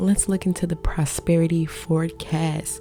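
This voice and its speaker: With an American accent, a woman speaks at a fairly slow pace and a fairly low pitch, with ordinary pitch variation. Music plays in the background. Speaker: intuitive reader. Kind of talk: tarot reading to camera.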